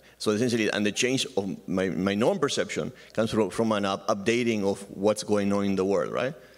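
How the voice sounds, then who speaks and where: On a very clean recording with a silent background, a man with a fairly low pitch talks at a fairly quick pace with ordinary pitch variation and hardly any pauses. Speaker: academic audience member. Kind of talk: conference Q&A. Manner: fast; halting.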